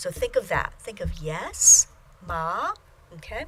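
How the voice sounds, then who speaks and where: A woman's voice over noticeable background noise. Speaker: Chinese language teacher. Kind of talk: lecture. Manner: slow.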